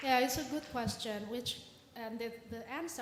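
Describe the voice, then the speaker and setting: A woman with an Indonesian accent has a fairly high, somewhat breathy voice. Audible room echo surrounds her speech. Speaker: psycholinguist speaker. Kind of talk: Q&A answer at orientation talk.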